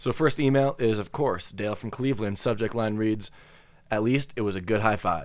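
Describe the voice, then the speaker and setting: Ordinary in pitch variation, a man with a normal speaking voice and a fairly low pitch talks at a moderate pace. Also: very clean recording, silent background. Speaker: podcast host. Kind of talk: casual banter podcast chat. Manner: joking, laid-back.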